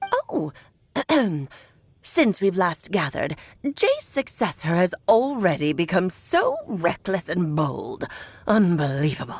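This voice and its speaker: A woman puts on a character voice. She speaks at a fairly slow pace with long, frequent pauses. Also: medium pitch for a woman. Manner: imitating an elderly woman.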